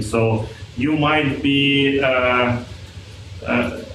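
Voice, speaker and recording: A man with a non-native accent speaks with ordinary pitch variation. Noticeable background noise and audible room echo are present. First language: not English. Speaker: audience member. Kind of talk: audience question. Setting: talk with audience. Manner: halting, stumbling.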